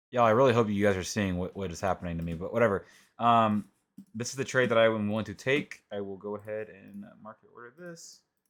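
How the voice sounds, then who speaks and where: On a very clean recording with a silent background, a quiet man talks at a very fast pace, with big swings in loudness and ordinary pitch variation. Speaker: trading educator / youtuber. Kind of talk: screen-recorded tutorial. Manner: casual, filler-heavy. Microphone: mic being adjusted, reportedly quiet.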